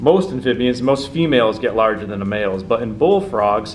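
With light background noise behind him, a man talks at a moderate pace. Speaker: presenter. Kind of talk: educational talk to camera. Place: meeting room.

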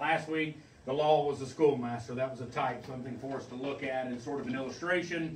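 A man speaks at a very fast pace with ordinary pitch variation. Audible room echo and light background noise surround him. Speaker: pastor. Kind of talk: sermon. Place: church. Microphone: camera far.

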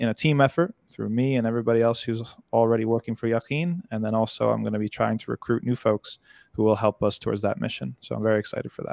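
Delivered at a very fast pace with ordinary pitch variation, the voice sounds dry with no echo against a quiet background. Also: man. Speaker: remote guest. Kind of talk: interview answer. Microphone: studio mic.

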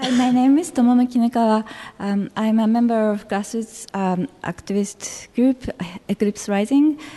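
A woman with a Japanese accent speaks at a moderate pace in a fairly high pitch with ordinary pitch variation, over noticeable background noise. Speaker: activist, public commenter. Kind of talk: public comment at city council meeting. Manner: halting, many fillers.

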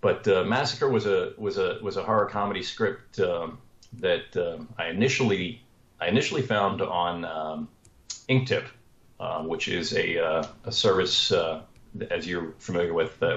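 Pausing long and often, a man with an American accent speaks at a moderate pace amid audible room echo. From Washington, D.C. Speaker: screenwriter and comedian; guest. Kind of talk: interview. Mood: relaxed, friendly storytelling. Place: home room. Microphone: video call.

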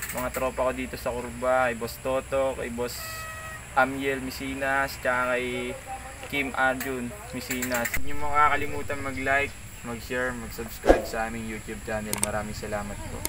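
Pitch varying in an ordinary way, a man keeps a moderate pace as noticeable background noise plays underneath. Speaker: cycling vlogger. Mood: friendly, grateful. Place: street. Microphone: camera far.

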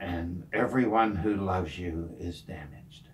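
His voice is somewhat breathy. The man's pitch shifts in an ordinary way. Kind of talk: personal talk to camera. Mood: serious, heartfelt. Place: home room.

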